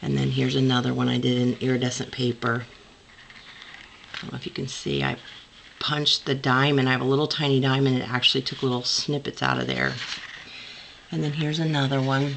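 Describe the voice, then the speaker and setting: A woman talks at a very fast pace, broken by long, frequent pauses. Background noise is noticeable. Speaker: crafter, former scrapbook store owner. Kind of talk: casual craft show-and-tell to camera.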